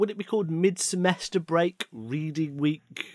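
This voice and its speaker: A speaker with an English accent takes a playful tone. The pace is moderate. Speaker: podcast co-host. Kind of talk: casual chat.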